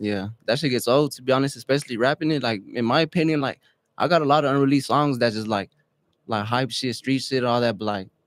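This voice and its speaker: On a very clean recording with a silent background, a man with an ordinary speaking voice talks at a medium pitch and a fairly quick pace with ordinary pitch variation. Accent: American. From West Texas (Odessa). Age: 18. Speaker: rapper. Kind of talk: casual interview.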